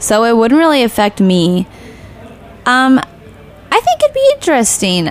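A woman with an American accent speaks with very wide pitch swings and very even loudness. Noticeable background noise runs behind her. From Nebraska. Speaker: pastry chef. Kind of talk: interview. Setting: studio.

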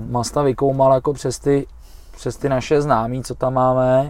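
At a moderate pace, a man speaks in a flat monotone at a medium pitch. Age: 40s. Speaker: Thai boxing coach and fighter. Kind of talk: casual chat. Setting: improvised studio in a van.

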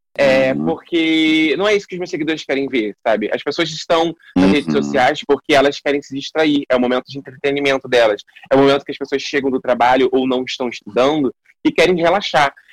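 A man's plain, everyday voice at a fairly high pitch, fairly quick pace and ordinary pitch variation, with a dry, close sound and no echo. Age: 20s. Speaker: actor and digital influencer. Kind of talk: casual interview.

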